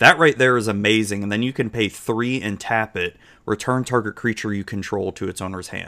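A fairly low-pitched man with an American accent, bright and sharp in tone, with fairly even intonation. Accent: slight Southern US, drawl when drunk. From Florida, US South. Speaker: livestreamer and podcast host. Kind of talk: casual livestream chat. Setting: live stream online.

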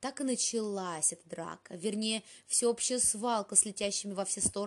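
This is an unforced reading voice. The words come out without strain.

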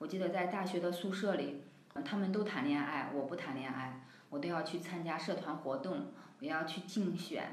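Audible room echo and noticeable background noise surround a woman with a fairly low pitch. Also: ordinary pitch variation, moderate pace. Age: 30s. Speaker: community member sharing personal story. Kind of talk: testimony. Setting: studio.

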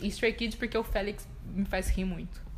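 A woman at a moderate pace with audible room echo. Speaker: podcast co-host. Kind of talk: casual chat. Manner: animated.

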